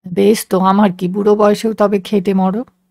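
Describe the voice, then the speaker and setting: Using a put-on character voice, a woman rumbles at medium pitch and a moderate pace in a monotone, flat delivery. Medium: read story. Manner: grumbling.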